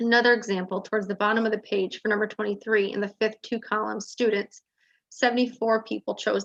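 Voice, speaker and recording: A woman speaks at a very fast pace with a fairly high pitch. Her intonation is monotone and flat. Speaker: search consultant presenting survey results. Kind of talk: presentation to school board.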